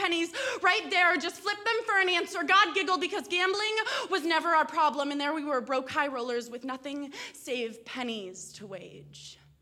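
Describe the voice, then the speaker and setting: Raised and projected, a woman's voice has a bright, sharp tone, lively intonation and a fairly quick pace. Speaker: spoken word poet. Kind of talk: spoken word poetry performance, intense and confessional, read aloud from a written piece. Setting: live on stage with audience at an arts center.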